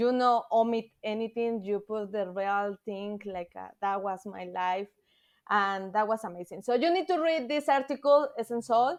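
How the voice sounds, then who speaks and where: The speaker has a Spanish accent and talks at a moderate pace with big swings in loudness over a quiet background. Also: woman, fairly high pitch for a woman. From Mexico City, Mexico. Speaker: thru-hiker. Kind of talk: podcast interview. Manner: halting, hesitant non-native English.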